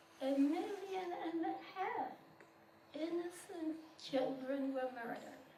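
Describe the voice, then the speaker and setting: Speaking at a very slow pace, a woman with an extremely high pitch uses ordinary pitch variation, and there is audible room echo. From Poland. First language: not English. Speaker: Holocaust survivor. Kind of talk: testimony.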